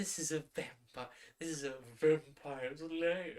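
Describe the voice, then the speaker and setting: A woman puts on a character voice with a very deep, low pitch. She speaks at a fairly slow pace. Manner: sepulchral, mock-spooky.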